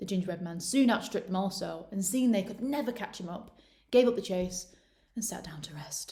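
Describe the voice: Simple, plain reading aloud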